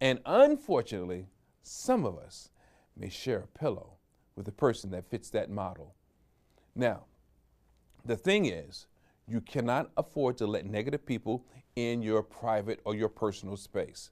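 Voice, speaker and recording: Speaking at a moderate pace and a medium pitch, a man shows ordinary pitch variation. His loudness swings widely, and he takes long, frequent pauses. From New York. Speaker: motivational speaker. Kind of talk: motivational talk.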